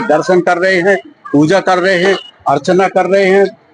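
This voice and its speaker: Music plays behind the speaker. His voice is a man's, set at a high pitch. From Mandla, Madhya Pradesh, India. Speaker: local resident. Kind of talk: interview.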